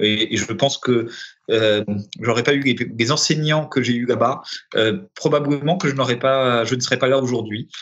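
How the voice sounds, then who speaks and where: This man's voice sits at a medium pitch, moving at a moderate pace with ordinary pitch variation and very even loudness. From Paris, France. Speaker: director of a public development agency. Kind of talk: interview. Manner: halting, many repetitions and hesitations.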